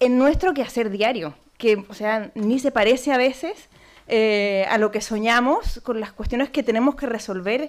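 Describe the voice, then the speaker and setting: A woman with a Chilean accent speaks at a fairly slow pace, her fairly high pitch moving with ordinary variation. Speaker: panel moderator, cultural manager. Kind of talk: panel discussion moderation. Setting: conference room with audience. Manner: hesitant, many fillers.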